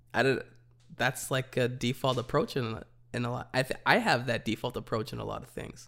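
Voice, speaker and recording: Moving at a moderate pace, the speech carries vocal fry. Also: man. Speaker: podcast co-host, church worker. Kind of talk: casual conversational podcast chat.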